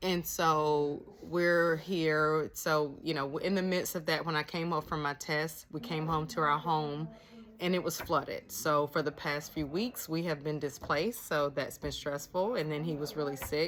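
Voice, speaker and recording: Her pitch is very deep and low, with ordinary variation. The woman speaks fairly slowly. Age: 50s. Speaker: nurse practitioner and vlogger. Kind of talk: casual vlog monologue. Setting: cabin in the mountains. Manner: laid-back.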